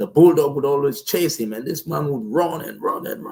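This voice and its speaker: A non-native accent with ordinary pitch variation. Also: man. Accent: noticeable non-native. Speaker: motivational speaker. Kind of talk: motivational talk. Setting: live stream. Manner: slow; powerful, deliberate delivery.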